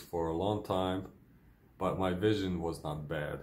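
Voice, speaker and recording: In a Ukrainian accent, a man speaks at a very slow pace with a very deep, low pitch, his voice carrying audible room echo. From Ukraine. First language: Ukrainian or Russian. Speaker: vlogger with multiple sclerosis. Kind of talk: personal video diary. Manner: hesitant, many fillers.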